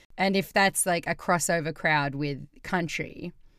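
A woman talks in a normal speaking voice at a fairly slow pace, her fairly low pitch showing ordinary variation. The recording is very clean, with a silent background. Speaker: podcast host. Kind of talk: casual banter, music discussion podcast. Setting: studio, recorded podcast.

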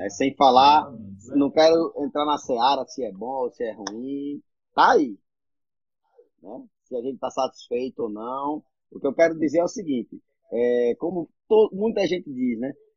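A man's fairly high voice, fairly slow, with long, frequent pauses, big swings in loudness and lively intonation. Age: 40s. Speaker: entrepreneur, civic movement founder. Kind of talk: casual interview. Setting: Instagram live.

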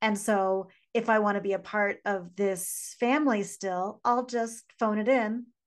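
Over a quiet background, a woman with a fairly high pitch speaks in a plain, everyday voice, fairly slow and with fairly even intonation. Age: 40s. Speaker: podcast co-host, business coach. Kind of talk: casual chat.

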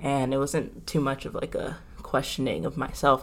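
Using vocal fry, a woman with a very deep, low pitch talks at a moderate pace. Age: 20s. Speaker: college student. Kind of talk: casual chat.

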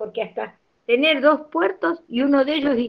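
A woman speaks at a fairly slow pace. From Argentina, Santiago del Estero. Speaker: nutritionist and university lecturer. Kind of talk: interview talk, lecture-like. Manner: animated.

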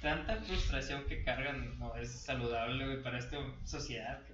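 A man with a Mexican accent talks at a fairly slow pace amid audible room echo and noticeable background noise. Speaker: podcast co-host. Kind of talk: casual chat. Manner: animated.

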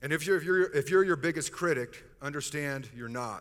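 A normal speaking voice from a man, fairly high in pitch at a moderate pace, on a very clean recording with a silent background. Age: 50s. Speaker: pastor. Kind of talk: sermon.

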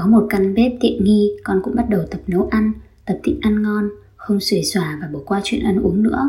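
At a moderate pace, a woman talks in a plain, everyday voice with a medium pitch and ordinary pitch variation. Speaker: podcaster, exchange student. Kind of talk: scripted narration.

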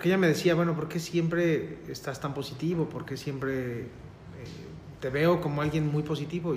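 In a Mexican accent, a man speaks at a moderate pace with a fairly high pitch and fairly even intonation. Room echo is audible. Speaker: licensed professional guest. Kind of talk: casual chat.

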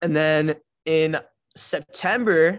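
With an American accent, a man speaks in a plain, everyday voice at a fairly high pitch, with ordinary pitch variation over a quiet background. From Iowa, US Midwest. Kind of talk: casual interview testimony.

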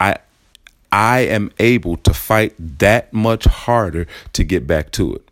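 This man has an unremarkable speaking voice, fairly low in pitch, with lively intonation. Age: 30s. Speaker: fitness podcast host. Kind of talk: solo podcast monologue.

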